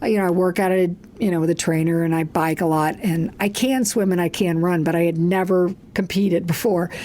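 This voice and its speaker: A woman speaks at a moderate pace in a plain, everyday voice. Her pitch sits in the middle range. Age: 60s. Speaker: coach and speaker. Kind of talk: casual chat.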